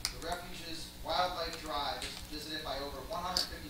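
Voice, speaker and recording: Loud background noise fills the recording. A man speaks with audible room echo. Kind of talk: ceremonial speech. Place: hall.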